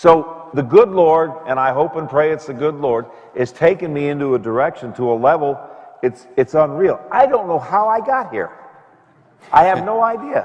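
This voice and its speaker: A man speaks at a moderate pace with a fairly high pitch and very wide swings in pitch. Noticeable background noise runs under the recording. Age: 70s. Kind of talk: conversation with audience Q&A. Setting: parish event with audience.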